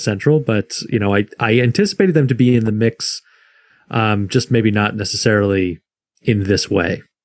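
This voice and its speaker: A man with an ordinary speaking voice and an American accent, fairly low in pitch, with fairly even intonation at a fairly quick pace, dry and close with no echo on a very clean recording with a silent background. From Michigan. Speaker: podcast co-host, sports fan. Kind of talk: casual interview.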